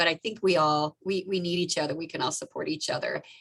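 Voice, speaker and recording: Woman, medium pitch. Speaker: obstetrician-gynecologist doctor. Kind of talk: presentation to an online audience. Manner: fast.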